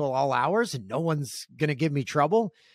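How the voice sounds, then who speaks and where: Delivered at a moderate pace in a normal speaking voice, the audio is dry and close with no echo, a very clean recording with a silent background. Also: man. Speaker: guest sharing addiction story. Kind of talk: testimony.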